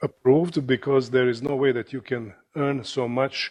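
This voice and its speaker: This speaker talks at a moderate pace in a Croatian accent. The intonation stays fairly even. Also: man. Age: 60s. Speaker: surgeon and professor. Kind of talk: lecture. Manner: halting, many fillers.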